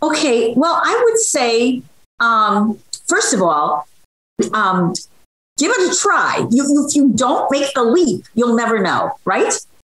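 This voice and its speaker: A woman talks very slowly in a high voice, her pitch swinging very widely while her loudness stays very even. The background is quiet, though room echo is audible. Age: 70s. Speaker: social media cooking creator. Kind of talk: interview answer. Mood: warm, encouraging. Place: home room. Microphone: video call.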